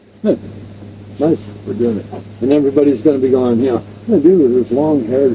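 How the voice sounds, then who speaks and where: A man talks at a very fast pace, broken by long, frequent pauses, over noticeable background noise. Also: medium pitch for a man, ordinary pitch variation. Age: 60s. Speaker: retired volunteer fire chief. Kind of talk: casual chat. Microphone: poor audio from early equipment.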